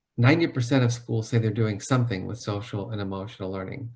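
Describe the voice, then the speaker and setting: The man's somewhat breathy voice has a medium pitch and fairly even intonation. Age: 50s. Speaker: psychologist. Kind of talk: webinar talk.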